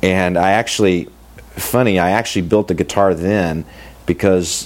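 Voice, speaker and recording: Noticeable background noise surrounds a man with an American accent whose very deep, low voice moves at a fairly slow pace. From US Midwest, Kansas City. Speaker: luthier. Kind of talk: interview.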